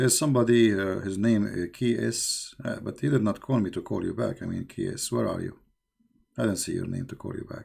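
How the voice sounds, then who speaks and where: A man at medium pitch with a non-native accent, fairly quick in pace, with ordinary pitch variation. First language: not English. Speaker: religious live-stream host. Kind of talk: live call-in show. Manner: halting.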